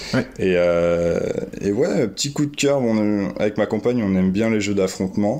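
Fairly low-pitched male voice with ordinary pitch variation, a fairly slow pace and noticeable background noise. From France. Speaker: graffiti artist and board game fan. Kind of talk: casual interview chat.

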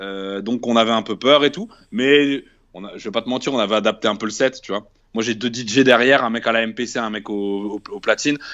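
A man has an ordinary speaking voice at a medium pitch. He keeps a moderate pace and fairly even intonation, with big swings in loudness. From northern France, Tourcoing. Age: 20s. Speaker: rapper. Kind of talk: casual interview.

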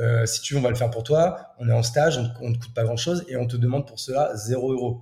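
A man's somewhat breathy voice with a dark, mellow tone, medium pitch and ordinary pitch variation. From France, Champagne-Ardenne. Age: 30s. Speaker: entrepreneur. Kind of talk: interview. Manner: casual, filler-heavy.

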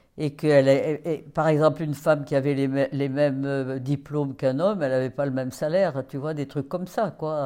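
A woman with a very deep, low pitch and a dark, mellow tone speaks at a moderate pace, with fairly even intonation. She hardly pauses, and the background is quiet. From France, Paris. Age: 80s+. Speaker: interviewee, great-grandmother. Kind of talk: life story interview. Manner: halting, with repetitions.

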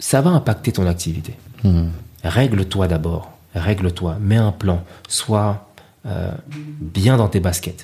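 With long, frequent pauses, a man speaks at a very slow pace in a very deep, low pitch, his dark, mellow tone somewhat breathy and showing ordinary pitch variation. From Paris, France (Ivorian parents). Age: 30s. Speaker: chef. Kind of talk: casual interview.

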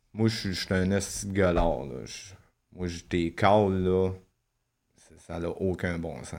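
A man's very deep, low voice with ordinary pitch variation, at a very slow pace with long, frequent pauses. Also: big swings in loudness. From Quebec. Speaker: former prisoner. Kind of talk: testimony.

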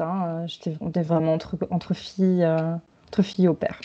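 A woman's monotone, flat intonation holds through her moderate pace. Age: 30s. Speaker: returning expatriate mother. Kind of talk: testimony.

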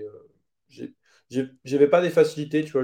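Medium pitch for a man, ordinary pitch variation, and a dark, mellow tone. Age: 20s. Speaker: webinar agency founder. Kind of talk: interview. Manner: casual, filler-heavy.

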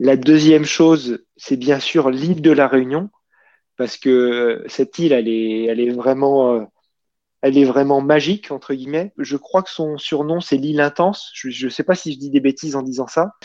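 Against a quiet background, a man with a dark, mellow tone and a fairly high pitch speaks at a moderate pace with ordinary pitch variation, the sound dry and close with no echo. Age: 40s. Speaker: amateur trail runner. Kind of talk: casual interview. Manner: hesitant, with fillers and repetitions.

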